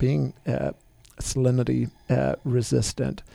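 The sound is dry and close with no echo as a man speaks with a New Zealand accent. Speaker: winery managing director. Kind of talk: radio interview.

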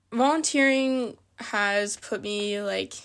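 A woman's normal speaking voice at medium pitch, with an American accent. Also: very clean recording, silent background. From northern Virginia, US. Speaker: service volunteer. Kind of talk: casual interview.

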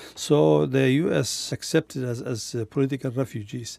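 A man speaks with a Kurdish accent. His pitch is medium and his tone is dark and mellow. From Kurdistan. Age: 70s. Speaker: retired refugee and former teacher. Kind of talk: personal conversation recounting life story. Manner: halting.

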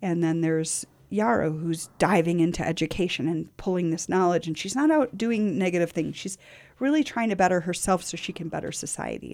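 In a plain, everyday voice, a woman talks at a fairly quick pace with a fairly low pitch and ordinary pitch variation, on a very clean recording with a silent background. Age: 50s. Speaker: community radio host and nonprofit founder. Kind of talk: casual conversation. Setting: radio studio.

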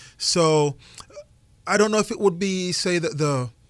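A man with a Jamaican accent speaks at a fairly slow pace with lively intonation, in a dry, close sound with no echo. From rural western Jamaica. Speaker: chef and restaurant owner. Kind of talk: radio interview. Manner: repeats words often.

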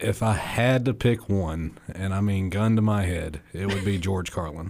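Speaking at a moderate pace, a man with a Southern US accent uses a fairly low pitch. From northern Alabama (Limestone County). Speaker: stand-up comedian. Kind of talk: interview.

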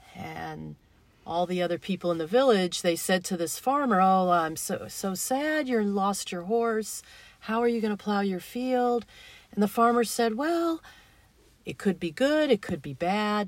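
A woman's plain, everyday voice at medium pitch, fairly slow with lively intonation, on a very clean recording with a silent background. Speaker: radio host. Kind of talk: casual radio conversation.

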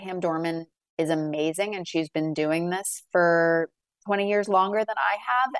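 A plain, everyday voice speaks at a fairly slow pace with ordinary pitch variation. The sound is dry and close, with no echo. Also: woman, fairly low pitch for a woman. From Massachusetts, north of Boston. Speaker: book editor and novelist. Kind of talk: interview.

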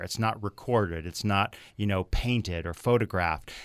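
A plain, everyday voice speaks at a moderate pace with ordinary pitch variation. The recording is very clean with a silent background. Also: man. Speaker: attorney and writer. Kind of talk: radio panel discussion.

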